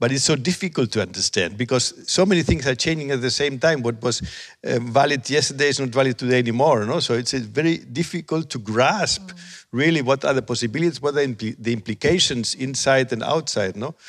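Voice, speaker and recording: Over a very clean recording with a silent background, a man with a Spanish accent speaks at a fairly quick pace with hardly any pauses, his pitch medium and ordinarily varied. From Spain. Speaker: professor of education technology. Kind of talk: panel discussion. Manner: halting.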